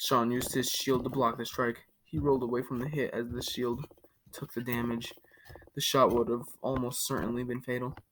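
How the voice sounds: This is a natural reading voice. It reads through the passage.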